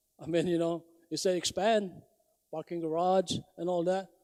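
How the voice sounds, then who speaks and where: Pitched high, a man talks in a non-native accent. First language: not English. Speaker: public hearing testifier. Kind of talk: public testimony. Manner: halting.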